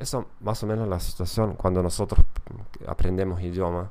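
A man's fairly low voice with a German accent and ordinary pitch variation. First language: German (speaking Spanish). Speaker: podcast host and language teacher. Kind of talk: educational monologue. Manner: halting, with many fillers and repetitions.

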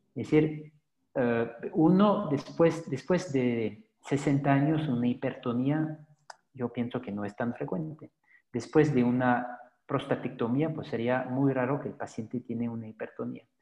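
A man talks at a fairly slow pace in a dark, mellow tone. His pitch is medium, with ordinary variation. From Belgium. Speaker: pelvic floor physiotherapist. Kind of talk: professional interview. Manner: halting, frequent repetitions.

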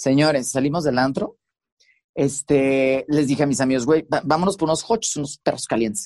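An ordinary speaking voice from a man, fairly high in pitch, at a moderate pace, with big swings in loudness and a dry, close sound with no echo. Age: 30s. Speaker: radio host and TV presenter. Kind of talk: casual interview chat. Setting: recording booth.

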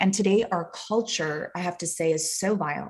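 With an unremarkable speaking voice, a woman talks fairly low in pitch and with ordinary pitch variation. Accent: American. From US Southwest (Phoenix, Arizona). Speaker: actress and author. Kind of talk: casual interview.

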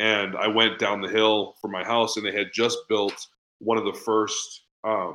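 This man has an American accent and a fairly low pitch. His tone is bright and sharp against a quiet background. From New England, Boston. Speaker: business coach. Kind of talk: podcast interview. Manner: fast talker.

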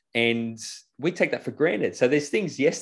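On a very clean recording with a silent background, a man with an Australian accent talks at a fairly quick pace with lively intonation. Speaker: financial business co-founder and property investor. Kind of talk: casual interview chat.

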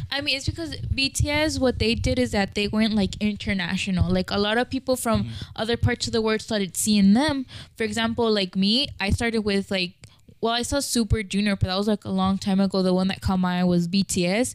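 A woman talks at a fairly quick pace in a normal speaking voice. Her pitch sits in the medium range and varies an ordinary amount. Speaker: podcast co-host. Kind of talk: casual chat.

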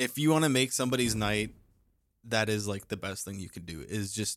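Speaking with a Canadian accent, a man uses a fairly low pitch at a moderate pace in a very clean recording with a silent background. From Canada. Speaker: podcast co-host. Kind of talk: casual chat. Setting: studio. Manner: animated.

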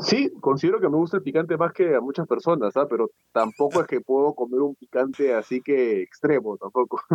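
A man speaks at a fairly quick pace in an ordinary speaking voice. His pitch is fairly high and his loudness very even. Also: lively intonation, hardly any pauses. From Peru. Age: 20s. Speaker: entrepreneur and coach. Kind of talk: interview.

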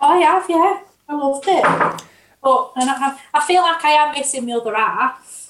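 With a northern English accent, a woman talks at a moderate pace in a high pitch, her pitch varying in an ordinary way. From northern England. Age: 30s. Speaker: podcast guest. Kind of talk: casual chat.

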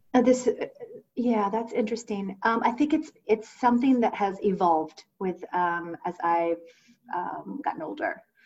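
With an American accent, a woman speaks at a moderate pace in a fairly high voice with lively intonation. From Ohio, US Midwest. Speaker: finance professional, former musical theater performer. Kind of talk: casual interview.

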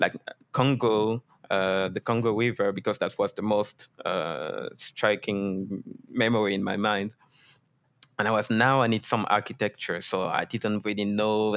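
A man's fairly low, monotone voice with a French accent, flat in intonation and fairly slow. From France. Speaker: 3D environment artist. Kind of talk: interview.

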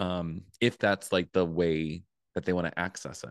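With a quiet background and a dry, close sound free of echo, a man speaks at a moderate pace in a very deep, low pitch. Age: 30s. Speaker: spirituality coach and author. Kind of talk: casual chat.

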